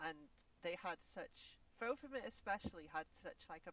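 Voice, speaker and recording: Someone speaks at a moderate pace with a Welsh accent. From Wales. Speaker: vtuber guest. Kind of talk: casual interview chat. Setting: Discord call on a live stream. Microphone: quiet on Discord.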